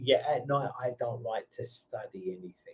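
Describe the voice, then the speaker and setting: A man with a London accent at a fairly slow pace. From England (London). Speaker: online English tutor. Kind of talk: casual conversation lesson.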